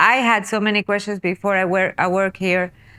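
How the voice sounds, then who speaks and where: A woman speaks at a moderate pace in a bright, sharp tone with a Spanish accent. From South America. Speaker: podcast co-host. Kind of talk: casual chat. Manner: halting.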